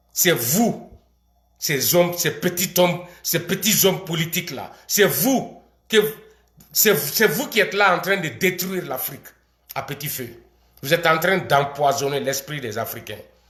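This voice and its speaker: A man with a high pitch talks at a fairly slow pace with lively intonation. He leaves long, frequent pauses. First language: not French (speaking French). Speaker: video commentator. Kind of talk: political rant. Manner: animated.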